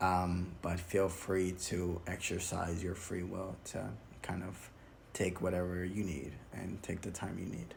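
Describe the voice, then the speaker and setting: A man's very deep, low voice with vocal fry, at a fairly slow pace, amid audible room echo. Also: fairly even intonation. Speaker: YouTuber reviewing a film critique video. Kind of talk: solo video commentary, report style. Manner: hesitant, many fillers.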